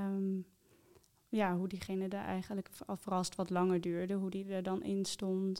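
At a fairly slow pace, a woman speaks in a medium-pitched voice with a dark, mellow tone. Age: 20s. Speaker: coaching client sharing her story. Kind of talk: personal testimony interview. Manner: hesitant, many fillers.

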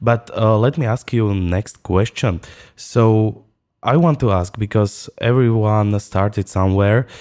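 A man speaks in a Slovak accent at a fairly slow pace and fairly low pitch. The recording is very clean, with a silent background. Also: ordinary pitch variation, very even loudness. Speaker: podcast host.

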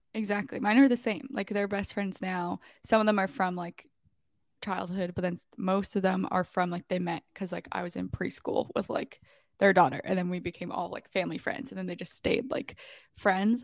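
An ordinary speaking voice from a woman, medium in pitch, at a moderate pace with ordinary pitch variation and a dry, close sound with no echo. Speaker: podcast co-host. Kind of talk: casual chat.

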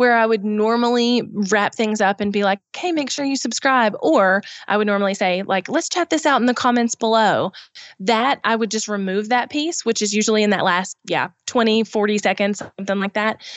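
With ordinary pitch variation, a woman speaks at a fairly high pitch. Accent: Southern US. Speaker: YouTube business expert. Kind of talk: podcast interview.

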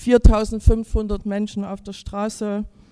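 The woman's voice has a dark, mellow tone. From Chemnitz, Saxony. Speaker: anti-racism activist. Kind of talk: rally speech. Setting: stage with audience.

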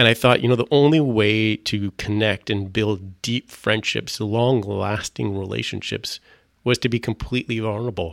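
A man with a plain, everyday voice speaks at a moderate pace, fairly low in pitch with fairly even intonation, in dry, close sound with no echo. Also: very clean recording, silent background. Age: middle-aged. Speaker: ministry organization president. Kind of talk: testimony.

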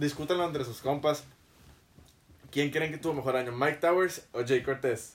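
At a moderate pace broken by long, frequent pauses, a man speaks in a fairly high voice with fairly even intonation. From Mexico. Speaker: podcast host. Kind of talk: casual chat. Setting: studio.

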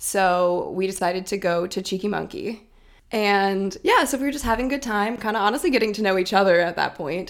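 On a very clean recording with a silent background, a woman talks fairly quickly at medium pitch with ordinary pitch variation. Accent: slight Minnesotan. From Minnesota, Minneapolis. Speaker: graduate student. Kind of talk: casual chat.

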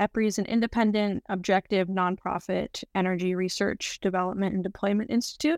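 With an American accent and a plain, everyday voice, a woman talks at a fairly quick pace with hardly any pauses, fairly even intonation and very even loudness, the sound dry and close with no echo on a very clean recording with a silent background. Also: medium pitch for a woman. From US South, North Carolina. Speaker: sustainability analyst. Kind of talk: casual interview.

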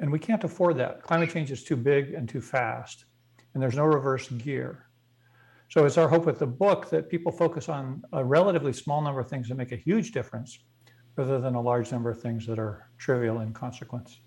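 A man talks at a fairly quick pace and medium pitch, his intonation lively. His voice is somewhat breathy against a quiet background. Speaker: energy policy expert. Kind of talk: interview.

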